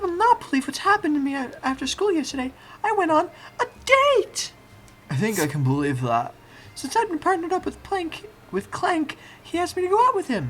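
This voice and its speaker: A put-on character voice, female-sounding, at an extremely high pitch and a moderate pace. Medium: solo performance.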